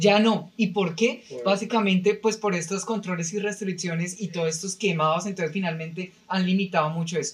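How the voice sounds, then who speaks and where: Over noticeable background noise, a man with a high pitch talks at a fairly quick pace. His intonation is fairly even and he hardly pauses at all. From Colombia, Bogotá. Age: 30s. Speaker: podcast guest, company employee. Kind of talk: casual chat.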